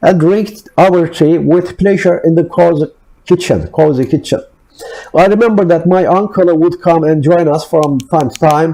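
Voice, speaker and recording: Speaking with a non-native accent, a man uses a high pitch and fairly even intonation at a fairly slow pace. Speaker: author reading own work. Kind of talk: read personal essay-story.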